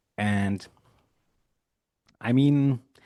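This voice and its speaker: With a German accent, a man speaks in a dark, mellow tone, the sound dry and close with no echo. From Germany. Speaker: musician and producer. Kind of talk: interview. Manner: halting.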